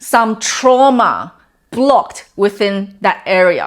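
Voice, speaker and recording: A woman speaks in a plain, everyday voice at a fairly high pitch with ordinary pitch variation. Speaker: wellness coach. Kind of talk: talking-head explainer video.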